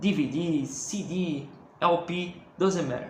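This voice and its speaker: With a Brazilian accent, a man speaks at a high pitch amid noticeable background noise and audible room echo. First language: Portuguese. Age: 20s. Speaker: music collector YouTuber. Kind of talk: casual video monologue. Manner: halting, many fillers and repetitions.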